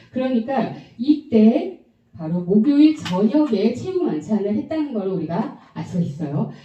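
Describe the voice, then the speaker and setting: Audible room echo surrounds a voice that moves at a fairly slow pace with very wide pitch swings. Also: woman, fairly high pitch for a woman. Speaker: Bible prophecy teacher. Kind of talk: Bible lecture.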